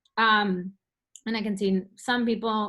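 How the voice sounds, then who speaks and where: An unremarkable speaking voice moves at a fairly slow pace with fairly even intonation over a quiet background. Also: woman. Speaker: company enablement specialist giving a product demo; presenter. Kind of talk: webinar product walkthrough. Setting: online webinar with screen share. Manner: casual with many fillers. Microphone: video call.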